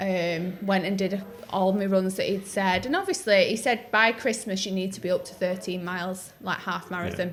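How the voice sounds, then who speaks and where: In a Northwest English accent, a woman speaks at a moderate pace with hardly any pauses. Her medium-pitched voice has fairly even intonation and big swings in loudness. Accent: North-West English. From North-West England. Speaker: podcast host, runner. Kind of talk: casual podcast conversation.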